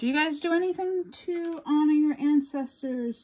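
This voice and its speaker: The voice is somewhat breathy, speaking at a fairly slow pace with an American accent. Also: woman. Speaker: crafting YouTuber. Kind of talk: casual chat. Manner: animated.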